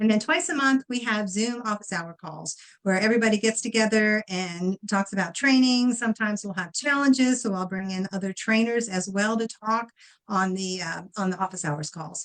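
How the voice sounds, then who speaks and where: Speaking at a moderate pace in an unremarkable speaking voice, a woman has a fairly high pitch with ordinary pitch variation. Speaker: dog trainer and course instructor. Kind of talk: tutorial. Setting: live stream.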